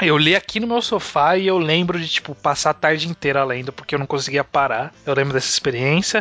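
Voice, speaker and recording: In an ordinary speaking voice, the speaker talks at a fairly quick pace with hardly any pauses. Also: man, fairly high pitch for a man, ordinary pitch variation. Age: 20s. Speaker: podcast host. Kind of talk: casual chat.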